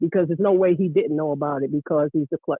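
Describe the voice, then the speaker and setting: A man talks at a fairly quick pace with fairly even intonation. He has an ordinary speaking voice, pitched fairly high. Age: 60s. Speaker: caller, former basketball coach. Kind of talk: casual chat. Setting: phone call.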